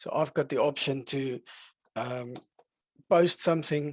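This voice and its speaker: The background is quiet as a man speaks. The sound is dry, with no echo. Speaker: software product demonstrator; software demonstrator. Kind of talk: software demo webinar. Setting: online webinar. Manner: fast. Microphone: headset.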